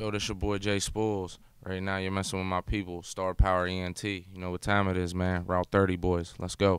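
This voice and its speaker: Hardly pausing, a man talks in a very deep, low, monotone voice with flat intonation on a very clean recording with a silent background. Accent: American. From Pittsburgh, Pennsylvania. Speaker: rapper. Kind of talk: interview. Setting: on location in Boston.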